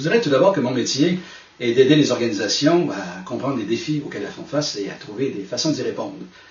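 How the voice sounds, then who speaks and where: A man with a Quebec accent at a medium pitch, very fast pace and lively intonation, with audible room echo and noticeable background noise. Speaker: management consultant and speaker. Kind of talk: recorded talk to camera.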